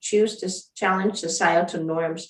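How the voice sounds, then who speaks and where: Delivered at a moderate pace, an ordinary speaking voice carries fairly even intonation. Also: woman. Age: 60s. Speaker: former provincial premier. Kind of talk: panel discussion.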